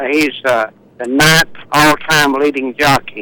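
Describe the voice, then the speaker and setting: A man talks with fairly even intonation and a bright, sharp tone. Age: 70s. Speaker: racehorse trainer. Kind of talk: phone interview. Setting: remote live link. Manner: halting, many fillers.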